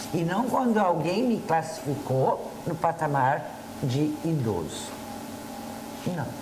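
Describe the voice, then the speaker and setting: Speaking very slowly, a woman swings her pitch very widely, with audible room echo and noticeable background noise. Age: 60s. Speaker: TV talk show co-host and school counselor. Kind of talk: casual talk show chat. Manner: hesitant, with fillers.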